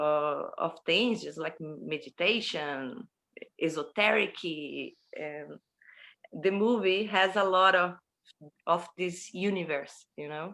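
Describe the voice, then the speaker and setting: Speaking very slowly, a woman uses a Portuguese accent. Her medium-pitched voice has a bright, sharp tone and ordinary pitch variation. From Brazil. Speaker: horror film producer and director. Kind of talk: interview. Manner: halting.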